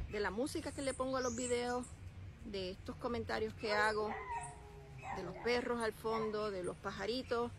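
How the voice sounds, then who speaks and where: A woman speaks in a Puerto Rican accent with ordinary pitch variation over light background noise. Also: dry sound with no echo. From Puerto Rico. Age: 50s. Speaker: vlogger. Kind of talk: casual vlog talk to camera. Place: open country. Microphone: phone near.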